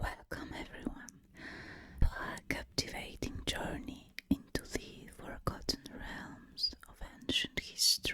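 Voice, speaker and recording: A woman whispers at a very slow pace. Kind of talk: ASMR whispered educational narration. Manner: whispered, soft.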